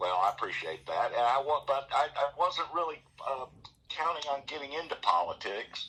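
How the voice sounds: His bright, sharp tone carries a slightly husky edge as the man talks.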